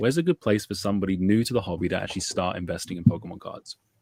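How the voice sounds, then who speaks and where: The speech runs very fast with ordinary pitch variation. The recording is very clean and dry, with a close sound, no echo and a silent background. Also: man. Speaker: podcast host. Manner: soothing, professional.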